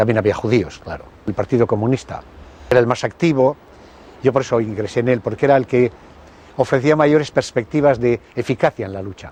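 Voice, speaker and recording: A man talks at a fairly quick pace and medium pitch in a dark, mellow tone. His pitch varies in an ordinary way, and he takes long, frequent pauses. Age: 70s. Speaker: former communist militant. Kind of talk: interview testimony.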